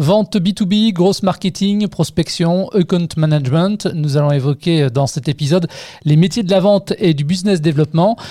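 A man talks at a high pitch with ordinary pitch variation. His loudness stays very even. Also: moderate pace. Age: 40s. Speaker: radio podcast host. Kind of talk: radio interview. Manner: formal.

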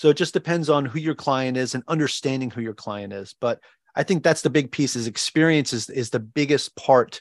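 A man with a New York accent, medium in pitch with ordinary pitch variation, at a fairly quick pace, in a dry, close sound with no echo. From Long Island, New York. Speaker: Navy veteran, real estate investor and financial coach. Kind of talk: interview.

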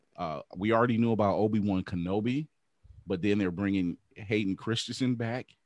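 This is an unremarkable speaking voice, a man's at a fairly low pitch with ordinary pitch variation and a fairly quick pace. The recording is dry and close with no echo, over a quiet background. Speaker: podcast host. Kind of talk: casual chat. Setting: video call.

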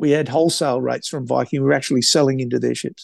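A man with an Australian accent speaks in a fairly high pitch. The sound is dry and close with no echo, over a quiet background. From Australia, New South Wales. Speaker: travel company founder. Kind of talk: interview. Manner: casual, many fillers.

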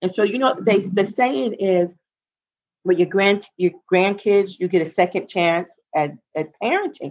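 A woman's normal speaking voice, medium in pitch, at a fairly slow pace with ordinary pitch variation. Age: 60s. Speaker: guest, host's mother, military veteran. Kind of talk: casual chat. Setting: video call.

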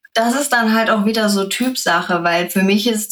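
The speaker's pitch varies in an ordinary way. Noticeable background noise is present. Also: woman. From Germany, Sauerland. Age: 30s. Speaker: influencer. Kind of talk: interview.

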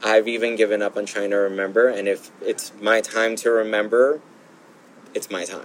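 In a Southern California accent, a man speaks at a moderate pace with a fairly low pitch and a monotone, flat intonation. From Los Angeles, South Bay (Gardena). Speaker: formerly homeless person in recovery. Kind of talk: personal testimony interview.

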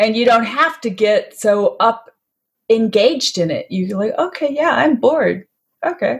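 A woman's normal speaking voice, fairly high-pitched, with lively intonation and a fairly slow pace. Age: 60s. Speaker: health author and wellness advocate. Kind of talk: interview.

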